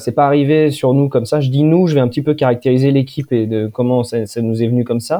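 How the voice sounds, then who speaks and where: Pausing hardly at all, a man speaks at medium pitch with ordinary pitch variation. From France, Poitou (Poitiers). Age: 20s. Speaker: engineer and company director. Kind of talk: casual interview. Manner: hesitant, many repetitions.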